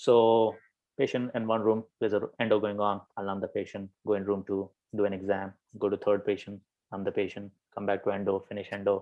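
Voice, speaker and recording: Delivered at a fairly quick pace, the speech is monotone and flat, in an American accent. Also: man. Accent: Indian English shifted toward American. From India. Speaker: dentist. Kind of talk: casual interview. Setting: live video call. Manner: hesitant, many fillers.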